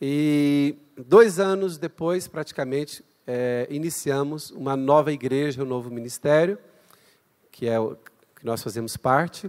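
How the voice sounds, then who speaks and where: Fairly slow speech from a man, its pitch varying in an ordinary way. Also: fairly high pitch for a man. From Brazil. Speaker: guest pastor, missionary. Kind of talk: sermon. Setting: church. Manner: animated.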